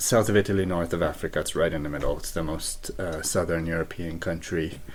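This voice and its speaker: A man talks at a fairly quick pace with a very deep, low pitch and fairly even intonation. Noticeable background noise sits behind him. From Malta. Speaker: singer-songwriter. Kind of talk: casual interview.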